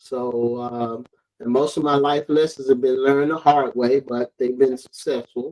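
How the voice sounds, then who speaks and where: A man with an Alabama accent speaks at a moderate pace in a dark, mellow tone. His intonation stays monotone and flat. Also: medium pitch for a man. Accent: Southern US (Alabama). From US South, Alabama (Mobile area). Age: 60s. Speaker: interviewee, father of the host. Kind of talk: casual interview.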